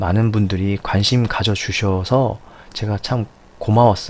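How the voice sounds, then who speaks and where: At a fairly slow pace, a man speaks with a fairly low pitch. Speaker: science teacher. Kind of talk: lecture. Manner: halting, self-correcting.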